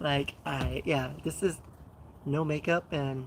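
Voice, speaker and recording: With vocal fry, a woman speaks at a very deep, low pitch and ordinary pitch variation. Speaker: fitness and lifestyle streamer. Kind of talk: live stream chat with viewers. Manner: filler-heavy, many ums.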